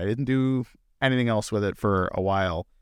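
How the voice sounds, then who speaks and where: On a very clean recording with a silent background, a man with a medium pitch and a normal speaking voice talks at a moderate pace with ordinary pitch variation. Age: 30s. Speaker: bitcoin mining executive and commentator. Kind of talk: casual chat. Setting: studio.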